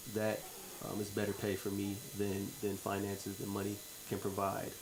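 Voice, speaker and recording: Audible room echo surrounds a man speaking at a fairly low pitch in a monotone, flat intonation. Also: moderate pace. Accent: American. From New York, US. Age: 20s. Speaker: charity founder. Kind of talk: radio interview.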